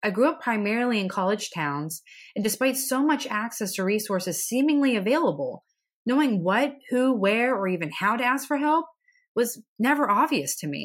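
Her pitch rises and falls in very wide swings, recorded very cleanly against a silent background. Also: fairly high pitch for a woman, moderate pace. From central Pennsylvania, US. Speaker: podcast host and mental health therapist. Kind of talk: scripted-style educational podcast talk. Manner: earnest, encouraging.

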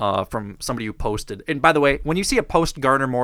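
What we hear is an unforced reading voice.

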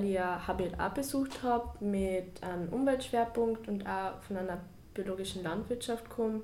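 Fairly slow speech from a woman, medium in pitch, with audible echo from the room. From Carinthia, Austria. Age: young. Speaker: university student. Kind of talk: casual interview.

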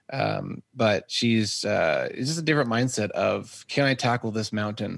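Against a quiet background, a man with an American accent and an unremarkable speaking voice talks at medium pitch with lively intonation. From Texas. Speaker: photographer and videographer. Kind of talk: casual interview chat. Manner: laughs often.

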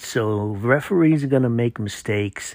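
Over a silent background in a very clean recording, a man uses a normal speaking voice at a moderate pace with ordinary pitch variation. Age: 50s. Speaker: high school football podcaster. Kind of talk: solo sports commentary podcast.

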